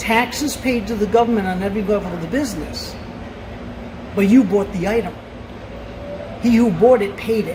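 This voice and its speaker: With an East Coast US accent, a woman at a medium pitch talks at a fairly quick pace with fairly even intonation and long, frequent pauses, amid audible room echo and noticeable background noise. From Rhode Island. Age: 50s. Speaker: store employee. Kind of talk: casual chat.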